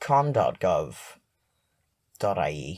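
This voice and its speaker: Very wide pitch swings from a man with an Irish accent, on a very clean recording with a silent background. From Ireland. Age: 20s. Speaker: comedian. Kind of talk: comedic video essay. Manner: halting, filler-heavy.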